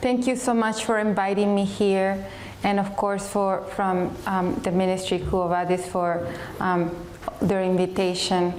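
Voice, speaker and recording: At a fairly slow pace, a woman speaks with very even loudness and fairly even intonation, amid audible room echo and noticeable background noise. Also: medium pitch for a woman. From Chile. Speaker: speaker giving life story talk. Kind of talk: testimony. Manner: hesitant, many fillers.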